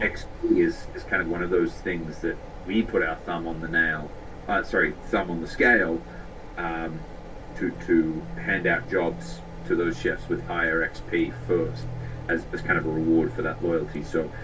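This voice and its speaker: The speaker has an Australian accent and lively intonation at a moderate pace. Noticeable background noise and audible room echo fill the recording. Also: man, very deep, low pitch for a man. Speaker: tech company CEO. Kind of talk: interview.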